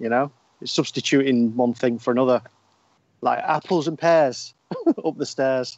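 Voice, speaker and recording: With a Northern English accent, a man speaks in a medium pitch and fairly even intonation, leaving long, frequent pauses. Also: moderate pace. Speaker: podcast co-host. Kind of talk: casual chat.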